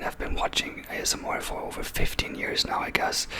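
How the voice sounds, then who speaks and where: A man is whispering. Noticeable background noise sits behind him. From Germany. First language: German. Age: 30s. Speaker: ASMR creator. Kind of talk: ASMR video. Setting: on camera at home. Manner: hesitant, many fillers.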